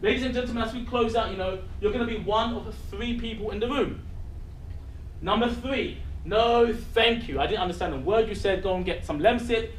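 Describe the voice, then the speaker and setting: Amid audible room echo and noticeable background noise, a man with a London accent talks at a moderate pace and a high pitch. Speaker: network marketing presenter. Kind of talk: sales pitch. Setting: stage with audience. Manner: animated.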